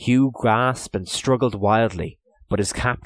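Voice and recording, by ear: Someone is reading aloud in a natural voice. The delivery sounds like ordinary read text.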